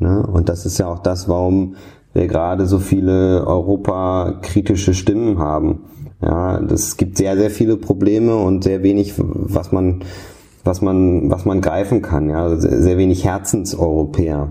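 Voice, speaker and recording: Here a man talks in a very deep, low pitch at a fairly slow pace. His intonation is monotone and flat. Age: 30s. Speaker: political analyst and editor. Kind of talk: interview. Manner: frequent repetitions and hesitations.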